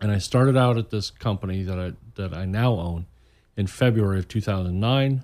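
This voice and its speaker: A man with an American accent and an ordinary speaking voice talks at a fairly quick pace. His pitch is fairly low with ordinary pitch variation, in a very clean recording with a silent background. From Indiana, US Midwest. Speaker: author. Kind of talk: casual radio interview. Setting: studio.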